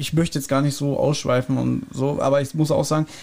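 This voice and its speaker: Fairly high for a man, his voice has a dark, mellow tone, fairly even intonation and a moderate pace. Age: 40s. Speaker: podcast co-host. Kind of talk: casual chat.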